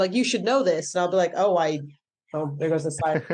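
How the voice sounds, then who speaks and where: Very fast speech comes from a woman with an American accent and a dark, mellow tone. Her pitch is fairly low, with ordinary variation. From Greece and Florida (born in Blackpool, England). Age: 30s. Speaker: stand-up comedian. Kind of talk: casual chat. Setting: podcast interview.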